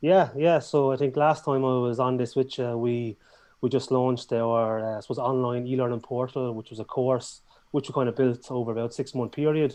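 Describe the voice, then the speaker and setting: This man has a strong Irish accent and a dark, mellow tone. His intonation stays fairly even. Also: medium pitch for a man, fairly quick pace. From Ireland. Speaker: business owner, course creator. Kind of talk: casual interview. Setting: YouTube live stream. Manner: fast.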